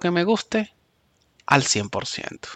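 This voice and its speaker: A man speaks with very wide swings in pitch. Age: 40s. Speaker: podcaster. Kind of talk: casual monologue.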